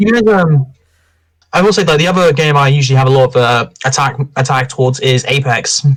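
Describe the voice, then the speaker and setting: Somewhat breathy and fairly high in pitch, a man talks at a fairly quick pace with very even loudness. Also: ordinary pitch variation. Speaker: gaming podcast host. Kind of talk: casual chat.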